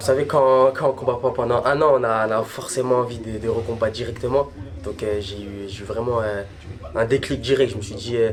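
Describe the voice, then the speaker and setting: Music plays in the background as a man talks at a fairly quick pace. His voice is medium in pitch with fairly even intonation. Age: 20s. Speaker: Muay Thai fighter. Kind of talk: documentary interview. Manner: halting.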